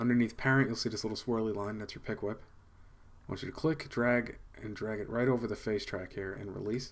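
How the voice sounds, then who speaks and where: A man at medium pitch, very fast pace and fairly even intonation. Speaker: video editing tutor. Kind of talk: tutorial. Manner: casual.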